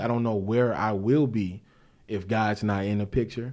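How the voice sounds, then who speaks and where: A man talks at a moderate pace and medium pitch, his intonation fairly even. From St. Louis, Missouri. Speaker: minister. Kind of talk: casual chat. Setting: basement home studio.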